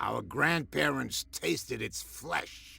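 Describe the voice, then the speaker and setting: A man uses a put-on character voice that is raspy. He speaks at a very slow pace. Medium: video game. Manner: sly, knowing.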